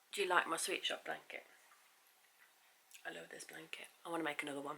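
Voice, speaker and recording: With an English accent, the speaker goes very fast, the intonation fairly even and the loudness swinging widely. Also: woman, fairly low pitch for a woman. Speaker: knitting vlogger. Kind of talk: casual chat. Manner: hesitant, many fillers.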